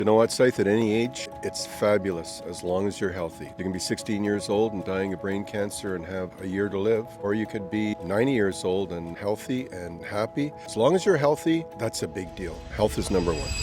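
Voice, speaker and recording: With music in the background, a man with a Canadian accent talks at a fairly quick pace with hardly any pauses, his fairly low voice full of lively intonation. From Canada, Ontario. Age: 60s. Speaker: retiree. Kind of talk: street interview.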